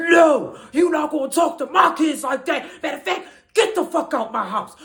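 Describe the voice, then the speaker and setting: Putting on a character voice, a man speaks at a moderate pace in an extremely high pitch with an angry tone. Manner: angry, confrontational.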